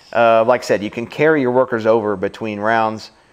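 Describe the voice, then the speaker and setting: The speaker talks at a fairly quick pace with a Louisiana accent and fairly even intonation. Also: man. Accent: Louisiana Southern US. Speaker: board game reviewer. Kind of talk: casual chat.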